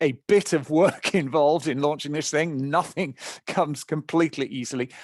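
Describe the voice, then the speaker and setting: The sound is dry and close, with no echo. A man talks with a British accent. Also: quiet background. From England. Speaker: nonprofit founder and speaker. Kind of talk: webinar presentation.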